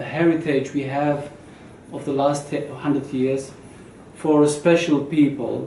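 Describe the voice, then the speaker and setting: A man's fairly high voice with monotone, flat intonation at a fairly slow pace, with long, frequent pauses, audible room echo and noticeable background noise. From Lebanon (born in Syria). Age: 40s. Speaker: music researcher and lecturer. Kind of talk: lecture. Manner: halting, many fillers.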